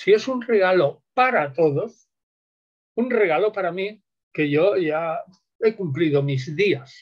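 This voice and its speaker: Lively intonation at a very slow pace, with long, frequent pauses against a quiet background. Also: man, high pitch for a man. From southern Spain. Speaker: biblical scholar; guest. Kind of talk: interview. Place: home room. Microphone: video call.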